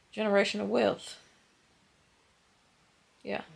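A woman talks fairly slowly against loud background noise. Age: 30s. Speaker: cosmetologist; vlogger. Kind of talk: casual vlog talk to camera. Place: home room. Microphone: phone near.

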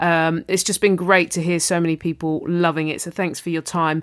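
On a very clean recording with a silent background, a woman with a London accent talks at a fairly quick pace in a fairly low, animated voice. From southeast London. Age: 30s. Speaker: podcast host. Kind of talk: podcast intro and casual chat.

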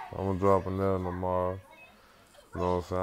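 Light background noise sits behind the speaker. A man talks in a very deep, low pitch. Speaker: vlogger. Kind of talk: casual vlog talk. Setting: in a car. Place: home room. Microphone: earbuds.

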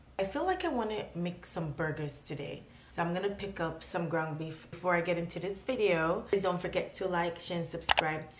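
A woman with a fairly low pitch speaks at a moderate pace, hardly pausing at all. Noticeable background noise runs beneath her. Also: ordinary pitch variation. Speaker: vlogger. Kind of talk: casual vlog chat. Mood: mildly frustrated, then resigned. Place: home room. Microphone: phone near.

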